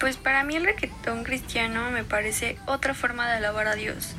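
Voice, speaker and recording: A woman's voice with fairly even intonation and noticeable background noise. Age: 20s. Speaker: church singer. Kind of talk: interview testimony.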